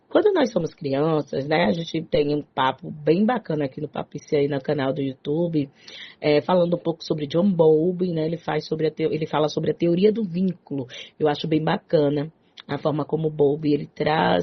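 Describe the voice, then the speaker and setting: Her pitch is very deep and low for a woman, and her tone is animated. She speaks with a strong Bahian accent. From Salvador, Bahia, Brazil. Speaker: psychologist radio host. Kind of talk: talk radio show.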